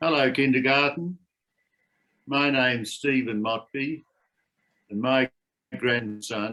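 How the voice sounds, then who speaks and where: Using an Australian accent, a man speaks at a medium pitch with a bright, sharp tone. His pace is very slow, broken by long, frequent pauses. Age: 70s. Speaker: grandfather sharing heritage. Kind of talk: personal testimony for children.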